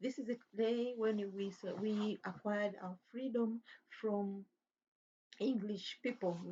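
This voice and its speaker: A woman's somewhat breathy voice at a very slow pace, with fairly even intonation. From Tanzania. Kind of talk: religious talk monologue. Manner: halting.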